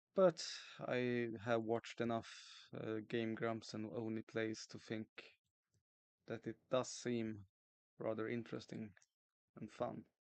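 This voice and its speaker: A man mumbles at a very slow pace and medium pitch, with fairly even intonation and long, frequent pauses. The sound is dry and close, with no echo. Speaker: streamer drawing a webcomic. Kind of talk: casual livestream chat. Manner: mumbling; soft-spoken.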